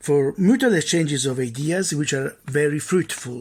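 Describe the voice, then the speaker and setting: At a moderate pace, a man with an Italian accent speaks in a somewhat breathy, fairly high voice with ordinary pitch variation. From Italy. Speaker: judge. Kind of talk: conference speech. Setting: recorded video message. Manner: formal.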